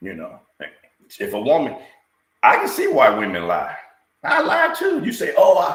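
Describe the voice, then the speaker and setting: A man speaks with long, frequent pauses and big swings in loudness. Room echo is audible. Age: 60s. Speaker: talk show co-host. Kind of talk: casual chat. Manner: slow; halting.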